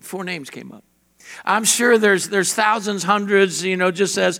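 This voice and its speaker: With a high pitch and ordinary pitch variation, this man talks at a moderate pace. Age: 50s. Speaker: pastor. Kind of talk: sermon.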